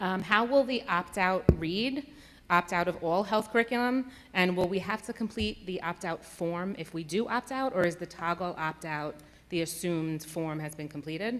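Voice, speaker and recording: A woman with an American accent uses a normal speaking voice at medium pitch, speaking at a moderate pace with lively intonation. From New York. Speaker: parent speaking at school board meeting. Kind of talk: public comment.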